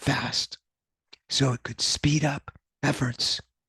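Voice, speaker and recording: The speech moves at a very slow pace. Vocal fry is present. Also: man. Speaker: university professor. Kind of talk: academic lecture.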